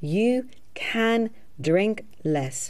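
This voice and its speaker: A woman's medium-pitched voice with a dark, mellow tone and very wide pitch swings. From Australia. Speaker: hypnotherapist. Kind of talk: sales pitch.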